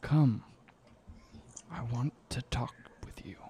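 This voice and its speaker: Rumbling and whispered, this is a put-on character voice. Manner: ominous, beckoning.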